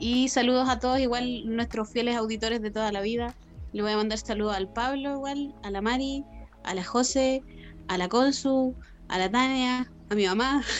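At a moderate pace, a woman talks in a plain, everyday voice, her fairly high pitch held to fairly even intonation. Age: 20s. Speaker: podcast co-host. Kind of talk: casual chat.

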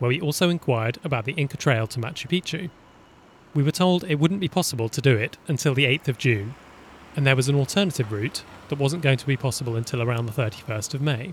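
The somewhat breathy voice races along at a very fast pace with ordinary pitch variation. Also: man. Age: 30s. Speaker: travel podcaster. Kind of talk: reading aloud travel diary.

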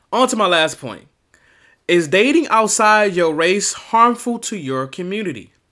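A man with an American accent projects a high, bright, sharp voice with lively intonation at a fairly slow pace. The recording is very clean, with a silent background. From Miami, Florida. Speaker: podcast host. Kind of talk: solo opinion commentary.

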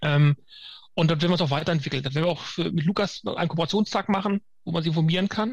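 A man speaks at a very fast pace. His high voice has ordinary pitch variation. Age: 50s. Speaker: firefighter trainer. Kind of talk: interview. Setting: video call.

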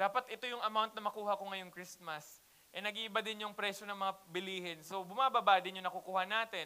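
A raised, projected voice delivered at a very fast pace. The intonation stays fairly even. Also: man, high pitch for a man. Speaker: pastor. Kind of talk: sermon. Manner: casual Taglish.

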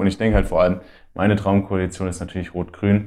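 A man speaks at a fairly quick pace in a fairly low pitch. The recording is very clean, with a silent background. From Middle Franconia, Bavaria (Ansbach). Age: 20s. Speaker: student and youth party activist. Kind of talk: interview.

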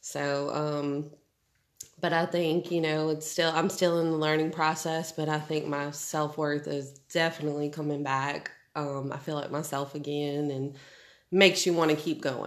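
With an American accent, a woman talks at a moderate pace in a very deep, low voice with monotone, flat intonation. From New Orleans. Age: 30s. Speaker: stay-at-home mom. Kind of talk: casual chat.

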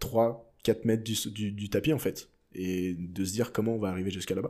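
At a moderate pace, a man speaks with a fairly low pitch, a dark, mellow tone, and fairly even intonation. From France. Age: 20s. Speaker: pole vaulter. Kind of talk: interview.

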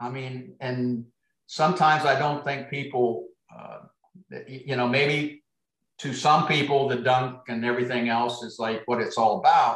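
A man with a Midwestern US accent speaks fairly slowly at medium pitch. His intonation stays fairly even while his loudness swings widely. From US Midwest. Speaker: basketball coach. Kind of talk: casual interview chat.

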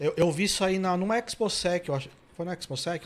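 This man talks at a fairly quick pace. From São Paulo, Brazil. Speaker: podcast host. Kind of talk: casual chat; sponsor read. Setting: studio.

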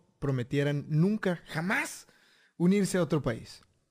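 The recording is very clean, with a silent background. A man speaks with a Mexican accent and ordinary pitch variation. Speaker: history podcast co-host. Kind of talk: casual chat.

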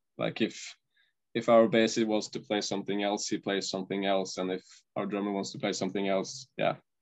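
The man has a Norwegian accent and a fairly low pitch. He talks at a fairly quick pace with fairly even intonation. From Norway. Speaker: metal band guitarist. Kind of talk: interview. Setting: video call. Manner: halting.

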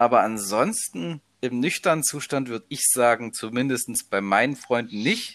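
A man talks in a normal speaking voice at medium pitch, with ordinary pitch variation and a moderate pace. The recording is very clean, with a silent background. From eastern Germany, Leipzig area. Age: 20s. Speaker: university student. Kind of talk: casual chat.

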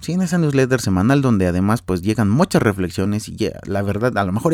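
With a Mexican accent, a man speaks at a fairly quick pace and medium pitch, his dark, mellow tone carried by lively intonation. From Mexico. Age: 30s. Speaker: podcast host, architect. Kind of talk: solo podcast monologue, casual.

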